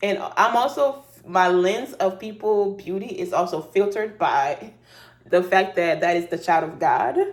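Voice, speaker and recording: A woman speaks at a fairly slow pace in a plain, everyday voice. Her medium pitch shows ordinary variation. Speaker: YouTuber reality TV commentator. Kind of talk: casual commentary.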